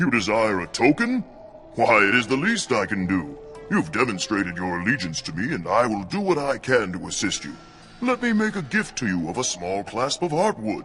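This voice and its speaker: A put-on character voice with clear background noise. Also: man, medium pitch for a man, moderate pace. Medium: machinima. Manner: formal, stately.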